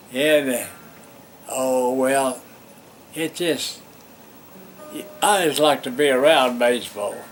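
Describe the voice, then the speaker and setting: Music plays in the background as a man speaks very slowly at a medium pitch with ordinary pitch variation. His long pauses come often. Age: 80s+. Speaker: former minor league baseball player. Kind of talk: interview answer.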